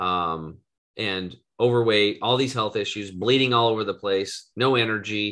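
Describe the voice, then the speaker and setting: A man with an American accent talks at a moderate pace. His pitch sits fairly low. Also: quiet background. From US West, eastern Oregon. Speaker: wellness entrepreneur and health coach; health coach. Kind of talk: podcast interview. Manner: animated. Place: home room. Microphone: video call.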